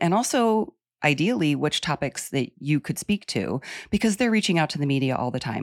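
A woman's lively intonation at a fairly quick pace, in a very clean recording with a silent background. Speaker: dietitian and media trainer. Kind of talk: casual interview.

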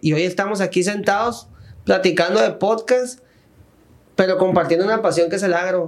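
Noticeable background noise sits behind a man with a high voice. He speaks at a moderate pace with fairly even intonation. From Sinaloa, Mexico. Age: 30s. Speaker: podcast host and magazine director. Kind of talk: casual interview chat. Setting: studio.

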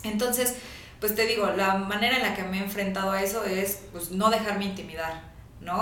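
A woman speaks with fairly even intonation. Audible room echo and noticeable background noise surround her voice. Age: 20s. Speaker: entrepreneur. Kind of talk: interview.

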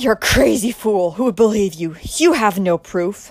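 A woman puts on a character voice at a medium pitch. Her intonation is lively. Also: moderate pace. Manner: scornful, dismissive.

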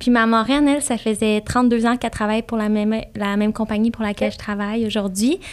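This recording is very clean, the background silent. The woman's voice sits fairly high. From Quebec, Saint-Hyacinthe south of Montreal. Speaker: flight attendant. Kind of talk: casual interview.

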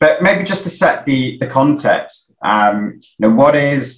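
A man with a South London accent speaks at a medium pitch. His pace is fairly slow and his intonation lively. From South London, England. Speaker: stand-in webinar host. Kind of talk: live webinar hosting. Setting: video call.

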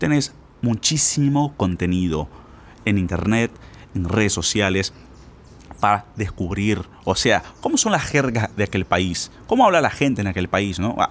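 Pitched fairly low, a man talks at a fairly slow pace with long, frequent pauses. His intonation is lively and his tone animated. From Brazil. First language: Portuguese (speaking Spanish). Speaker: Spanish teacher. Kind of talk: podcast monologue.

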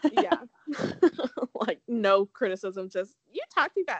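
Lively intonation and an animated tone come through in a dry, close sound with no echo. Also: woman.

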